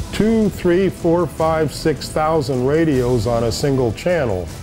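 A man speaks with lively intonation. Clear music plays in the background. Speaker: race radio dispatcher and safety communicator. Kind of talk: interview answer, casual storytelling. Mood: reminiscing, wry humor. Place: studio.

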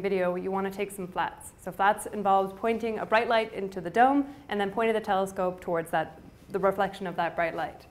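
Her intonation is fairly even. This woman moves at a fairly quick pace. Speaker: observatory trainer. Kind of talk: tutorial.

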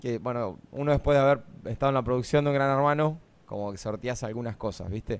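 A man's voice, fairly high in pitch. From Argentina, La Pampa. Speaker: former reality show contestant; radio guest. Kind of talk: casual chat. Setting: radio studio. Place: studio. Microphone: studio mic.

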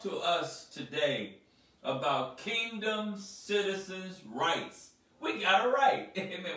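Audible room echo on a man's speech. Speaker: speaker. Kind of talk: sermon. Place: home room.

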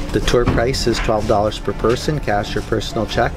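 A man delivers his words at a fairly quick pace. Clear music can be heard behind him. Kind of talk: tour guide explanation.

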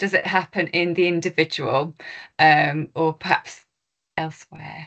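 Very slowly and in a bright, sharp tone, a woman with a fairly low pitch speaks against a quiet background. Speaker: university lecturer. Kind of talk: event moderation. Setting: university event with audience. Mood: warm, appreciative. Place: home room. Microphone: video call.

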